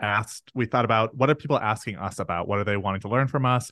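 A plain, everyday voice, a man's at medium pitch and a fairly quick pace with ordinary pitch variation, dry and close with no echo over a quiet background. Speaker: photographer and business coach. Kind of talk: casual interview conversation.

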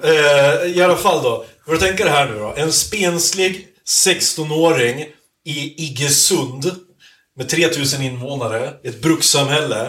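Ordinary pitch variation, a bright and sharp tone, a fairly slow pace, and audible room echo. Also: man. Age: 30s. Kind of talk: casual chat. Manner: halting.

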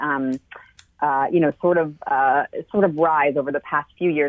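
A woman with an American accent speaks in a very deep, low voice. Her pitch varies in an ordinary way. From United States, Cuban heritage. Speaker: market research consumer behaviorist. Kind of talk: interview.

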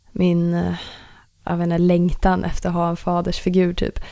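A woman's dark, mellow tone at a fairly slow pace, in a very clean recording with a silent background. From Stockholm area, Sweden (Ösmo). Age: 20s. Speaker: musician. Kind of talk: casual chat. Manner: giggly.

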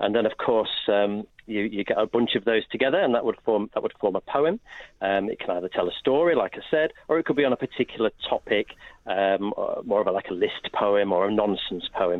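A man has an ordinary speaking voice with a fairly low pitch. He talks at a moderate pace with ordinary pitch variation. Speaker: literacy education expert. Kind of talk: radio interview.

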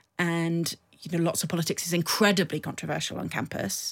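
Recorded very cleanly against a silent background, a woman with a fairly low pitch talks at a fairly quick pace in a normal speaking voice. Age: 40s. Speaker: political adviser. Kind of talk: interview.

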